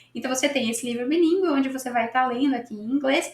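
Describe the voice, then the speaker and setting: A woman speaks with a Brazilian accent. Her pitch is high. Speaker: English teacher. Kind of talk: casual tutorial. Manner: animated; conversational.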